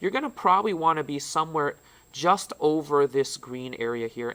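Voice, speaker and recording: A man's fairly high voice, bright and sharp in tone, with lively intonation. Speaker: tech trainer for teachers. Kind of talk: tutorial. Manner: loud; casual, with fillers.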